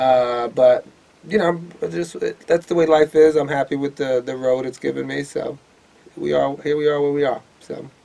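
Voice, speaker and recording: At a moderate pace, a man speaks in a New York accent. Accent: New York City. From New York City, Lower East Side of Manhattan. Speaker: stand-up comedian and club owner. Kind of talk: casual interview chat. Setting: studio.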